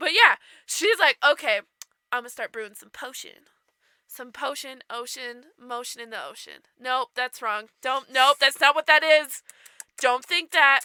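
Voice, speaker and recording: In a dry, close recording with no echo, a woman with a high, bright, sharp voice projects it in an animated tone, speaking fairly slowly with ordinary pitch variation and big swings in loudness. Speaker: podcast co-host. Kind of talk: comedic storytelling.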